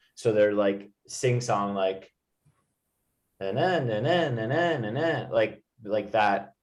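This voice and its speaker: At a very slow pace, a man talks with an American accent and ordinary pitch variation. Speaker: English tutor. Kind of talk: online English lesson.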